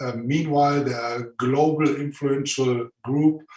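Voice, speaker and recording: Fairly even intonation with a German accent. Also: man. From Germany. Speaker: conference host. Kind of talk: conference presentation. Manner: hesitant, many fillers.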